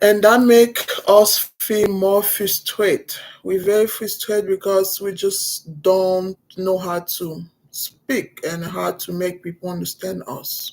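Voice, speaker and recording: The pace is very slow and the intonation fairly even. Loudness swings widely throughout. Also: woman, medium pitch for a woman. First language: not English. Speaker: vlogger. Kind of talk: personal vlog. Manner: halting.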